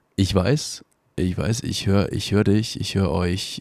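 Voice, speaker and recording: A man speaks at a fairly low pitch with ordinary pitch variation. His tone is dark and mellow. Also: very clean recording, silent background. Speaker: podcast host. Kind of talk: voice memo announcement. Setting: in bed at home. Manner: halting.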